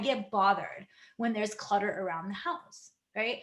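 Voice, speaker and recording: A woman with a non-native accent at a moderate pace. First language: not English. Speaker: health coach and energy healer. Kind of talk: casual vlog talk. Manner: conversational, filler-heavy.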